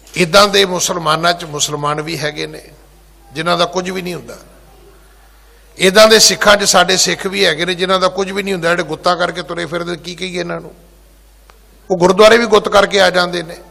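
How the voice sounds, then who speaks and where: Over noticeable background noise, a man with a high pitch speaks in a fairly even intonation while his loudness swings widely. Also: moderate pace. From rural Punjab. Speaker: Sikh preacher / head granthi. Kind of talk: religious discourse (katha). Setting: gurdwara.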